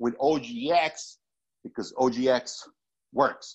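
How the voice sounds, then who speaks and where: A man speaks in an animated tone. His pitch variation is ordinary. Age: 40s. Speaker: wellness product distributor. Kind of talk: motivational livestream.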